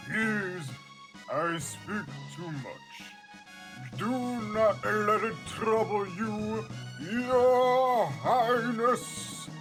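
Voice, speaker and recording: A put-on character voice at a very slow pace over clear music in the background. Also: man, high pitch for a man. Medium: game stream. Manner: formal.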